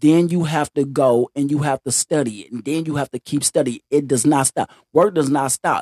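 A man with a fairly high pitch and a dark, mellow tone uses ordinary pitch variation, with a dry, close sound and no echo. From US South, Mississippi. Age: 50s. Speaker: podcast guest. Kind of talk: casual chat.

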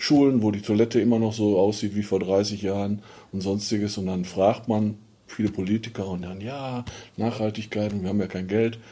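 The voice has a dark, mellow tone, moving at a moderate pace with monotone, flat intonation. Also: man, fairly low pitch for a man. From Ruhr area, Germany (Dinslaken). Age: 50s. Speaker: mayoral candidate, former miner. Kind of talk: interview.

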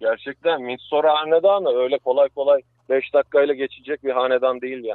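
Here a man has a plain, everyday voice at a fairly high pitch. He moves at a fairly quick pace with ordinary pitch variation. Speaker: science segment guest. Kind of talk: lecture; casual chat. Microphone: connection dropped.

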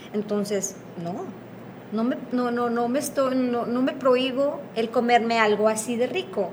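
Speaking at a moderate pace, a woman with a fairly high pitch and ordinary pitch variation is heard through audible room echo and noticeable background noise. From northern Mexico, Piedras Negras, Coahuila. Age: 40s. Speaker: former bariatric surgery patient. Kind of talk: interview.

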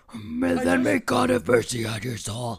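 Putting on a booming character voice, a man talks at a medium pitch and a fairly slow pace. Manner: dramatic, all caps intensity.

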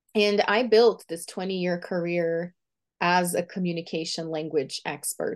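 In a Portuguese accent, a woman with a medium pitch speaks at a moderate pace. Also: quiet background. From Brazil. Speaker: visibility coach and author. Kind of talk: interview conversation.

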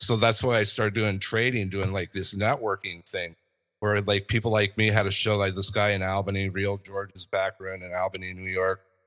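This voice has a bright, sharp tone and an American accent, delivered with monotone, flat intonation. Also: man, fairly low pitch for a man, fairly quick pace. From Southern California. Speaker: podcast host. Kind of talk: interview storytelling. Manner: halting.

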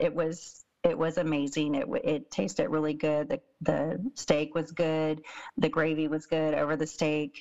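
A woman's ordinary speaking voice, fairly low in pitch, at a moderate pace against a quiet background. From Texas. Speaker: podcast co-host, parent. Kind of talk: casual chat review.

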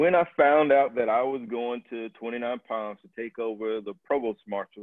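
A plain, everyday voice with an American accent speaks at a moderate pace. The pitch varies in an ordinary way. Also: man. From US South, Tallahassee, Florida. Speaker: Marine Corps officer. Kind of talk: interview.

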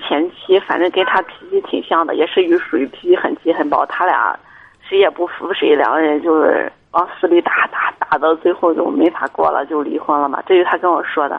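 Noticeable background noise runs under the recording. A woman speaks with fairly even intonation. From Shandong, China. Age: 30s. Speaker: caller. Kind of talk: advice call-in. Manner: halting.

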